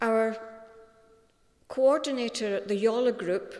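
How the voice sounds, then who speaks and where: In a Scottish accent, a woman speaks slowly-ish at a fairly high pitch, her intonation fairly even. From Scotland. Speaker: eulogy speaker, friend of deceased. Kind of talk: eulogy. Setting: funeral service.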